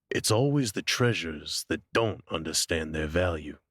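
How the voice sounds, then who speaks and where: Recorded very cleanly over a silent background, a put-on character voice goes at a moderate pace with lively intonation. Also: man, very deep, low pitch for a man. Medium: read story. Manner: smooth, teasing.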